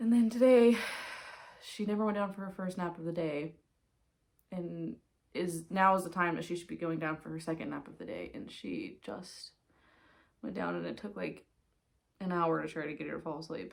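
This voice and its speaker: Soft-spoken at a moderate pace, this voice has ordinary pitch variation, long, frequent pauses and big swings in loudness. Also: woman, fairly low pitch for a woman. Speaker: knitting podcaster. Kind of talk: casual chat.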